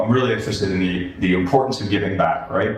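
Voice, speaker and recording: Music plays behind a man with a fairly low voice. His speech carries audible room echo. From New York (Queens). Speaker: author and former publishing executive. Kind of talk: interview conversation. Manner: animated.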